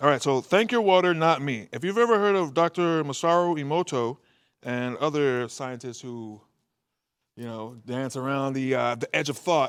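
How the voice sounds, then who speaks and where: In a very clean recording with a silent background, a man with an unremarkable speaking voice and fairly high pitch talks at a moderate pace, his intonation lively and his loudness swinging widely. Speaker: spoken word artist. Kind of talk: interview answer.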